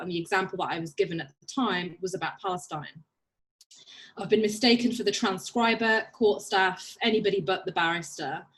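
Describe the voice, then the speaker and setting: A Birmingham accent at a fairly quick pace, with ordinary pitch variation. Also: woman. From England, Birmingham. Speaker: barrister. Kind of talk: panel talk.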